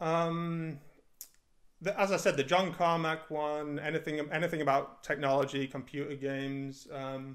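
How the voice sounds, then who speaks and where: The speaker has a northern English accent and moves at a moderate pace. The intonation is fairly even, and the background is quiet. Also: man. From northern England. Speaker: indie game developer; interviewee. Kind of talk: interview. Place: home room. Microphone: studio mic.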